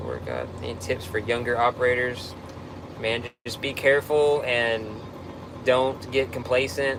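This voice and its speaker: A man speaks with a Texan accent and fairly even intonation. Audible room echo and noticeable background noise surround him. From Texas. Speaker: tow truck operator. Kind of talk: live stream Q&A reading comments. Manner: casual, halting with fillers.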